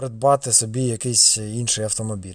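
This man's voice sits at a medium pitch and moves at a fairly slow pace. The recording is very clean, with a silent background. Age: 30s. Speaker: car vlogger. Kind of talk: casual vlog. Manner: casual.

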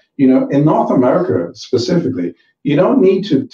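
With a West Indian accent, a man speaks at a fairly high pitch with very wide pitch swings and vocal fry. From Caribbean. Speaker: banker and youth mentor. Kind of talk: talk show interview.

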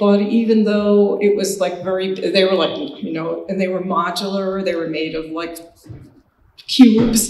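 Audible room echo surrounds a woman speaking at a fairly slow pace with ordinary pitch variation. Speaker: painter. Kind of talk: lecture. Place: hall.

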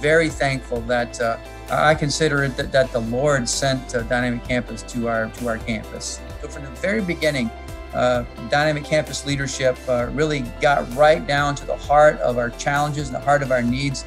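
Clear music sits in the background. Over it a man speaks at a moderate pace. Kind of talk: interview answer. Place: office. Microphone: video call.

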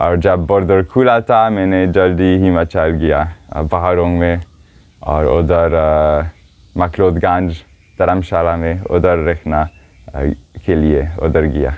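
A man at a very deep, low pitch, very slow pace, very even loudness and long, frequent pauses. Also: fairly even intonation. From Switzerland. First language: not Hindi; learned Hindi four years ago (speaking Hindi). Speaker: foot pilgrim and yoga teacher. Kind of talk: interview; interview answer. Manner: halting, many hesitations. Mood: cheerful, relaxed. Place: tent. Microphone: lapel.

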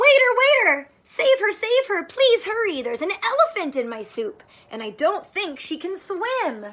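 A woman's put-on character voice, extremely high-pitched and fairly bright, with big pitch swings at a fairly slow pace

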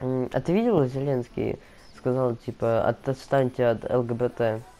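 Over music in the background, a man speaks at a medium pitch in a monotone, flat intonation. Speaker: gaming let's player. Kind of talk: casual gaming commentary.

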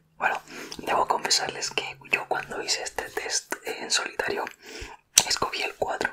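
Whispering at a fairly slow pace, a man speaks. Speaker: ASMR creator. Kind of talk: ASMR personality test talk to viewer. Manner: whispered. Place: home room. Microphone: studio mic.

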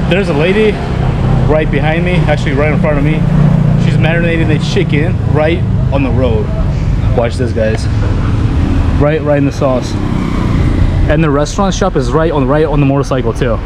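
The speech moves at a fairly quick pace with ordinary pitch variation. Loud background noise runs underneath. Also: man. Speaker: travel food vlogger. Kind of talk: casual vlog chat. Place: street. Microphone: phone near.

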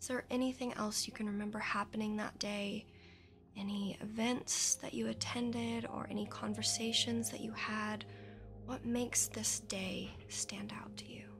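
Over noticeable background noise, a soft-spoken woman talks in a soothing tone. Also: moderate pace. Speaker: hypnotist guide. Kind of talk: guided hypnosis induction. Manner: soft, hushed, soothing guiding voice. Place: studio.

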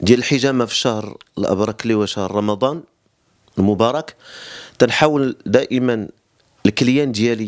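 Speaking at a moderate pace with ordinary pitch variation, a man leaves long, frequent pauses against a quiet background. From Morocco. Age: 30s. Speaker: cupping therapist. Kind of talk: interview explanation. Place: home room. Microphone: handheld.

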